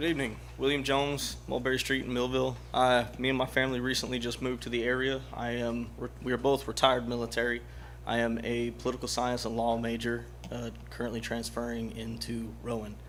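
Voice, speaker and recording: A man talks at a fairly quick pace with a Southern accent. The room echo is audible. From US South. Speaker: retired military, student, resident. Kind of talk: public comment at city council meeting.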